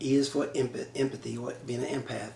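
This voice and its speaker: Noticeable background noise sits behind a voice with an American accent that moves at a fairly quick pace with fairly even intonation. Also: man. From Chicago. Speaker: relationship talk show host. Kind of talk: casual interview.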